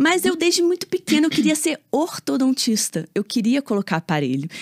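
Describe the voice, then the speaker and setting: A woman with a high-pitched voice, very wide pitch swings and very even loudness, recorded dry and close with no echo. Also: moderate pace. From Brazil, Rio de Janeiro. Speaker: orthodontist. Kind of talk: casual interview chat.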